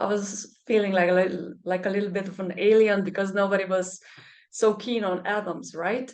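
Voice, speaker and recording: Moderately paced female speech, its intonation fairly even. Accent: Slovenian. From Germany, Slovenian parents. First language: Slovenian. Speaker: medical doctor and energy healer. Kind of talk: interview conversation. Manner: halting, many fillers.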